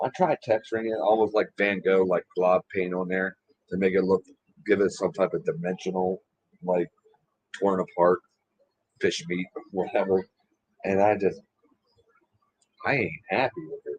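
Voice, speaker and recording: A man with fairly low pitch and ordinary pitch variation speaks at a moderate pace. He takes long, frequent pauses, and the sound is dry and close with no echo. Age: 40s. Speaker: lure maker livestream host. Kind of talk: casual livestream chat.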